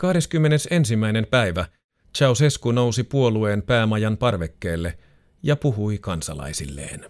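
A man with a fairly low pitch and very wide pitch swings, talking at a very slow pace on a very clean recording with a silent background. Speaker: narrator reading a magazine feature aloud. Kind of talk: scripted true-crime style narration of a magazine feature, read aloud. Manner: measured, sober and suspenseful, even storytelling pace.

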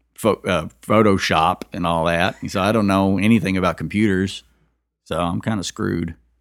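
In a Kentucky accent, a man speaks with a very deep, low pitch and fairly even intonation at a moderate pace. The recording is very clean with a silent background and a dry, close sound with no echo. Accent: Southern US, Kentucky. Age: 40s. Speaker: musician. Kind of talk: interview. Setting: host's living room. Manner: halting, many fillers.

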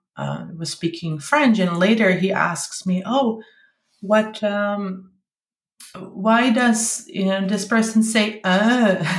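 A woman speaks very slowly in a Dutch accent, somewhat breathy. Her pitch varies in an ordinary way. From Netherlands (Limburg). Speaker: parent of bilingual child. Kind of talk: interview.

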